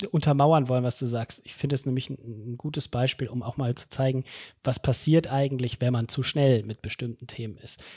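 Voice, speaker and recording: At a moderate pace and medium pitch, a man speaks somewhat breathily with fairly even intonation and big swings in loudness, in a dry, close sound with no echo. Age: 30s. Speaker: head of talent management and learning. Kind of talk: podcast interview. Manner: hesitant, many fillers.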